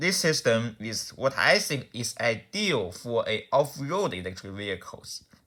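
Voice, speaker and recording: A man's bright, sharp voice with a non-native accent. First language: not English. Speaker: car enthusiast YouTuber. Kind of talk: explainer video. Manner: halting, many restarts.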